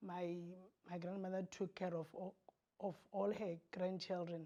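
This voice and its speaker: In a flat monotone, a woman speaks at a moderate pace with a fairly low pitch and a dark, mellow tone. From Botswana. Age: 40s. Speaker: teacher sharing abuse story. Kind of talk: testimony. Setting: TV studio.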